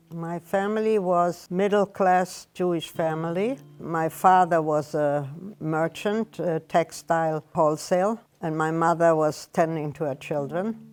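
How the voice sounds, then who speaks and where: A woman speaks at a fairly low pitch and a fairly slow pace. Her pitch varies in an ordinary way over music in the background. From Germany. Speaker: Holocaust survivor. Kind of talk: testimony. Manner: halting.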